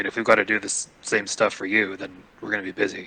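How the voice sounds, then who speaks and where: A man does a put-on character voice that is raspy and fairly low. He rattles along at a very fast pace with big swings in loudness. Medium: actual play. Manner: halting, hesitant.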